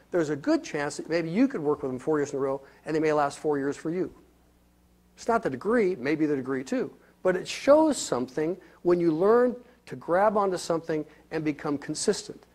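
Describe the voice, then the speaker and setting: A man's fairly high voice at a moderate pace, with lively intonation, on a very clean recording with a silent background. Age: 60s. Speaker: motivational speaker. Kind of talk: motivational talk. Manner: animated.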